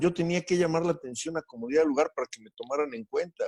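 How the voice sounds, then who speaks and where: A man talks with a Spanish accent in a dark, mellow tone. The sound is dry and close, with no echo. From Mexico. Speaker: guest interviewee, doctor. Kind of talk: interview. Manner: halting with fillers.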